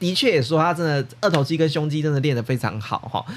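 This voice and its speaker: With noticeable background noise, a man in a Taiwanese accent talks at a very fast pace, fairly high-pitched, with lively intonation. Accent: Taiwanese Mandarin. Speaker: podcast host. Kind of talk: casual podcast monologue. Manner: casual, chatty, filler-heavy.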